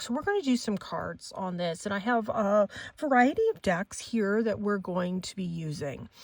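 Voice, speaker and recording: A woman's ordinary speaking voice with lively intonation and a fairly slow pace. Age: 50s. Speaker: psychic tarot reader. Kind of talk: casual monologue with commentary.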